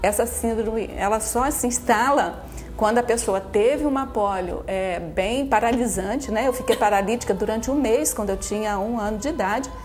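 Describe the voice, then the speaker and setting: A woman speaks at a moderate pace with hardly any pauses, her fairly high pitch showing ordinary variation. Audible room echo and noticeable background noise are both present. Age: 60s. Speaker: mathematician. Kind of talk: TV interview.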